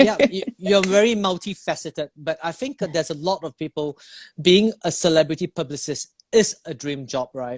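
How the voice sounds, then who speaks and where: With a non-native accent, a man speaks at a moderate pace and a high pitch, his loudness swinging widely. The sound is dry and close, with no echo. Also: lively intonation. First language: not English. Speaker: live stream host. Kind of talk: interview on Instagram live. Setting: Instagram live video stream. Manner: halting.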